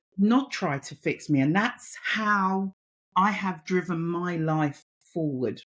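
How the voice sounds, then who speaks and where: Speaking very slowly in a Cockney accent, a woman sounds somewhat breathy. Her intonation is lively. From East London, England. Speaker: mentor and women's empowerment advocate. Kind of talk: podcast interview.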